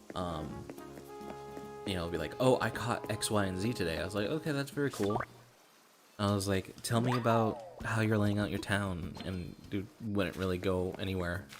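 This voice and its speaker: A man speaks at a moderate pace with a fairly low pitch and ordinary pitch variation. Noticeable background noise is present. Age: 20s. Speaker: gaming streamer. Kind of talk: live stream commentary. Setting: home, others in nearby rooms. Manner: casual, filler-heavy; speaking quieter than usual.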